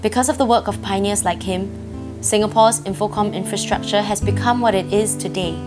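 Over music in the background, a woman talks at a fairly quick pace with hardly any pauses. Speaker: theatre actress. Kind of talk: documentary narration.

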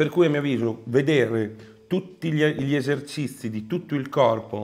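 This man has a plain, everyday voice. His pitch is medium, with ordinary pitch variation. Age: middle-aged. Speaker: professional bodybuilder and online coach; online coach. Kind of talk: casual Q&A chat. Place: home room.

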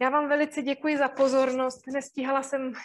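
A woman talks at a moderate pace. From Moravia, Czech Republic (Zábřeh); Moravia, Czech Republic. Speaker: university lecturer in drama education. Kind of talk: webinar lecture. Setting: online webinar broadcast. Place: home room. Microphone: webcam.

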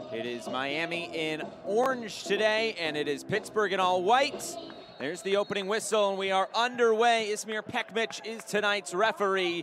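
Over noticeable background noise, a man speaks in an excited tone at a high pitch, with lively intonation and a moderate pace. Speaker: match commentator. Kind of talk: live sports commentary. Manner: rising excited intensity on goals.

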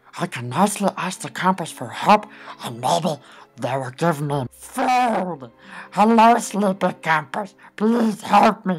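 Music plays behind a man using a put-on character voice, high-pitched and fairly slow. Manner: meek, relieved, polite.

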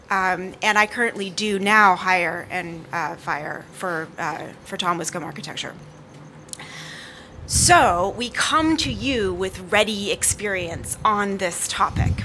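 A woman speaks at a very slow pace with ordinary pitch variation over light background noise. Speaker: panel moderator. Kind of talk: panel introduction. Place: street. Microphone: podium.

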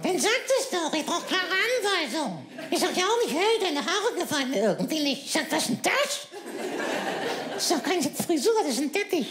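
With clear background noise behind him, a man performs a put-on character voice at a moderate pace. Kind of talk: comic ventriloquist act. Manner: cheeky, insulting, quick-witted.

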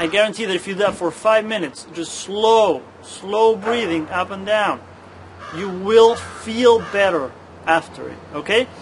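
The speaker talks at a fairly slow pace with ordinary pitch variation. Noticeable background noise runs underneath. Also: man. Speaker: wellness coach. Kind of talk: guided breathing exercise demonstration, cueing each breath with movement. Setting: filmed demonstration on uneven ground. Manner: calm, repetitive breath cues: breathe out, breathe in; casual and encouraging, frequent 'okay?' check-ins and stumbles. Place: garden.

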